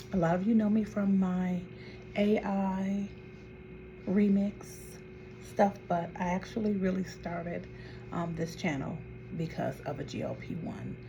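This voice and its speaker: A woman's fairly low voice at a fairly slow pace with long, frequent pauses and ordinary pitch variation, with music in the background and audible room echo. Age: 60s. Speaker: vlogger. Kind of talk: casual chat.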